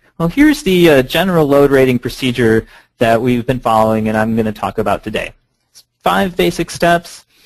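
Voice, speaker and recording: The background stays quiet. A man's intonation is lively as he talks at a fairly quick pace. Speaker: presenter. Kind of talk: lecture. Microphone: video call.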